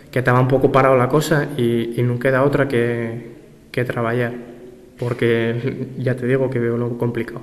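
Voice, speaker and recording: A man at medium pitch and moderate pace, flat and monotone, with noticeable background noise. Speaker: language rights activist. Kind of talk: interview answer.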